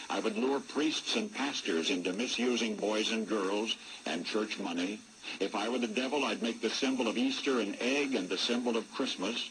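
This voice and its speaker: A man with an American accent speaks at a moderate pace and medium pitch, with ordinary pitch variation. His loudness stays very even while noticeable background noise runs beneath. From United States. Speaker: radio broadcaster. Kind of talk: radio commentary.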